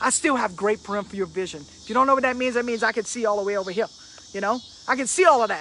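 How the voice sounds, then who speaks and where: The speaker talks at a very fast pace in a Cajun accent. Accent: Cajun Louisiana English. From Louisiana. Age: 50s. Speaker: motivational speaker. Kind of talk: motivational live stream talk.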